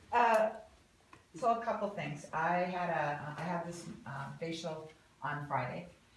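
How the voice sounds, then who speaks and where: Against noticeable background noise and audible room echo, a woman with a fairly low pitch talks at a fairly slow pace with long, frequent pauses. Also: ordinary pitch variation. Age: 60s. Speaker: client giving testimonial. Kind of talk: testimony.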